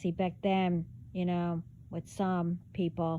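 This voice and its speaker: The voice has a dark, mellow tone. Its intonation stays monotone and flat. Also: woman. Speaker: spiritual messenger vlogger. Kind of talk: casual monologue. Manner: talking low.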